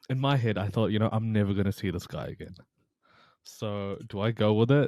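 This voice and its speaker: Fairly quick pace and ordinary pitch variation in a very clean recording with a silent background. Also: man, fairly low pitch for a man. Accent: New Zealand. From New Zealand, Taranaki (Hāwera); born in Pakistan. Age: 20s. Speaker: personal trainer and mental health coach. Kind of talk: podcast interview. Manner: casual, halting with fillers.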